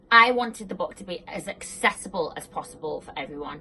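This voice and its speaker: A bright, sharp tone with lively intonation, at a moderate pace, in a British accent. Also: woman. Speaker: personal trainer. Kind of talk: casual talk to camera. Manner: casual, filler-heavy.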